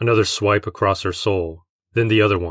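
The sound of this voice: Quiet background behind an unforced reading voice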